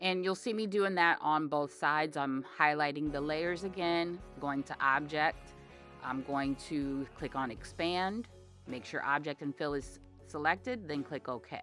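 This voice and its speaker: A woman's very deep, low voice at a fairly slow pace, with ordinary pitch variation and music in the background. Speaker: graphic design tutorial maker. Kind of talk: software tutorial voice-over. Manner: casual, hesitant.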